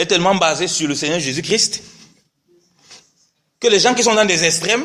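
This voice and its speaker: Speaking at a moderate pace, a man with a high voice uses ordinary pitch variation. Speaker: preacher. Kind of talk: sermon.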